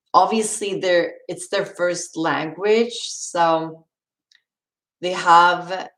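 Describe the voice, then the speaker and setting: A woman's fairly low voice with a non-native accent and fairly even intonation, on a very clean recording with a silent background. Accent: non-native English accent, noticeable. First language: Swedish. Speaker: livestreamer. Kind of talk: casual chat. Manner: halting.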